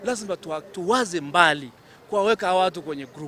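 Fairly quick delivery over light background noise, the sound dry with no echo. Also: man. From Tanzania. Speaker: city official. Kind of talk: interview. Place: street. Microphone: handheld.

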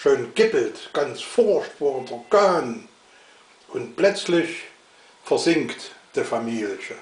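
In a Saxon accent, a man speaks very slowly, with audible room echo. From Saxony. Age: old. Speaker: dialect reciter. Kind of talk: dialect poetry reading. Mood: humorous, calm. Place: home room. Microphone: webcam.

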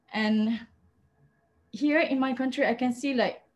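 A somewhat breathy woman's voice against a quiet background. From Malaysia. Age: 40s. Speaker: advocate for people who use drugs; panelist. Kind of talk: panel talk, personal testimony. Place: home room. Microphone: webcam.

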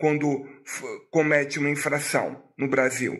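A man's bright, sharp-toned voice at a fairly slow pace over a quiet background. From Brazil. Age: 50s. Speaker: YouTuber. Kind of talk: vlog monologue. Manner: animated.

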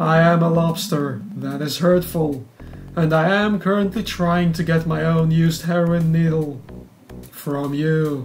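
At a fairly slow pace and middle pitch, the speaker puts on a character voice. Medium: game stream. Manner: formal, clipped, prim.

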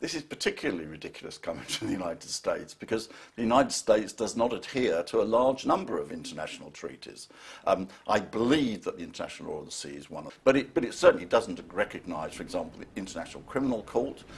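The speech runs at a very fast pace with big swings in loudness. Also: man. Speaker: political commentator. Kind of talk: interview. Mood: critical, mildly indignant. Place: studio.

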